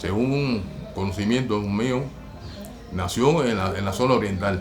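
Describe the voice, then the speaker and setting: Over music in the background, a man with a fairly low pitch and ordinary pitch variation speaks at a very slow pace, with audible room echo. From Cuba, Güines. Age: 60s. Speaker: percussionist. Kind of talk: documentary interview.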